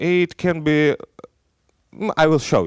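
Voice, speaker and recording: A man with a slight Belarusian accent, in a very clean, dry, close recording with no echo and a silent background. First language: Russian. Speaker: software engineer. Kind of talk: conference talk. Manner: halting.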